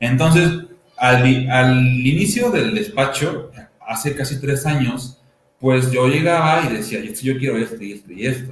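In a central Mexican accent, a man with a medium-pitched voice speaks at a fairly slow pace with lively intonation and big swings in loudness, and audible room echo is present. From Toluca, Mexico. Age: 20s. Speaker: architect and university teacher. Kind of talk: panel talk presenting architecture practice. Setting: video stream, sharing one camera with partners.

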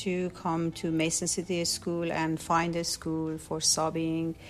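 A woman with a Persian accent, fairly low in pitch, at a fairly slow pace. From Iran. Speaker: special education aide. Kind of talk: interview. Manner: halting.

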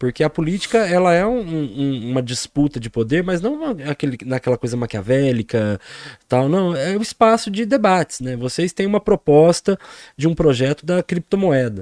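Very wide pitch swings mark a man's fairly high voice at a moderate pace. The recording is dry and close with no echo and a quiet background. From Brazil, Poços de Caldas (southern Minas Gerais). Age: 40s. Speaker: political candidate and teacher. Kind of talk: podcast interview. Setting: studio.

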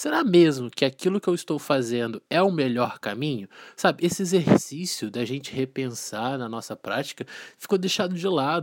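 A man with an ordinary speaking voice talks at a moderate pace and a fairly high pitch with lively intonation, in a dry, close sound with no echo on a very clean recording with a silent background. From Volta Redonda, interior of Rio de Janeiro state, Brazil. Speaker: teacher, podcast host. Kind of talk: casual chat. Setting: studio.

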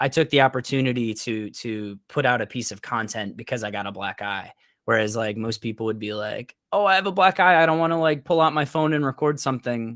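With an American accent and a plain, everyday voice, a man talks at a fairly quick pace and medium pitch with lively intonation and hardly any pauses, in a dry, close sound with no echo on a very clean recording with a silent background. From Upstate New York (Syracuse). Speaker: freelance photographer and content creator. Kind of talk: interview, casual conversation.

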